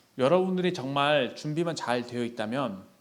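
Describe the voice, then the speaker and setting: A fairly high-pitched man with lively intonation amid audible room echo. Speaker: youth group lay preacher. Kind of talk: sermon. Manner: fast.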